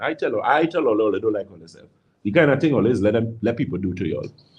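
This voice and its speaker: A man talks at a very fast pace with a Trinidadian accent. His tone is animated, with very wide pitch swings. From Trinidad and Tobago. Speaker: naturopathic health practitioner. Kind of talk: radio call-in health advice. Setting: radio studio.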